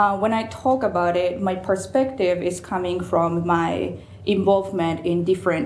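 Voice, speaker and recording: The woman's pitch is fairly low. Room echo is audible, along with noticeable background noise. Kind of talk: lecture. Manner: hesitant, many fillers.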